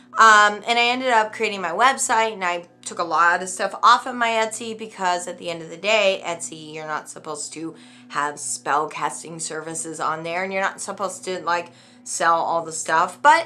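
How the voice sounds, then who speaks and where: Music plays in the background. A woman speaks with big swings in loudness. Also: fairly low pitch for a woman, lively intonation, moderate pace. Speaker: witch selling spells online, video creator. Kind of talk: casual vlog rant. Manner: halting, many fillers and restarts.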